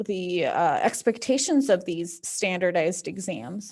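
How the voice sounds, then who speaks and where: The voice carries vocal fry in a very clean recording with a silent background. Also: woman. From central Oregon, born in Mexico. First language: Spanish. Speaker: immigrant rights advocate and medical interpreter. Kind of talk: panel discussion. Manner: casual, many filler words.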